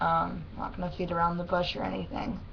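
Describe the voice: Speaking fast with vocal fry, a woman keeps her fairly low pitch nearly flat, with little movement.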